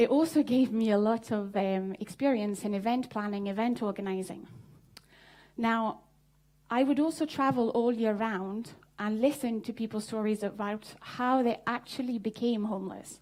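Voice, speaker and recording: With a French accent, a woman talks at a fairly high pitch with ordinary pitch variation. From southern France. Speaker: social entrepreneur. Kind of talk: conference talk. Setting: stage with audience.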